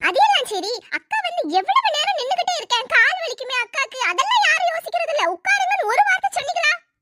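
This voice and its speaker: A woman does a cartoonish character voice at an extremely high pitch, with lively intonation, a moderate pace, and a dry, close sound with no echo. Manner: gossipy, bossy.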